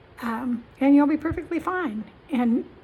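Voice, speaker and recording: High pitch from a woman, ordinary variation in that pitch, and noticeable background noise behind her. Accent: American. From Kansas, US Midwest (Topeka). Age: 70s. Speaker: vlogger. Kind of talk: casual talk to camera.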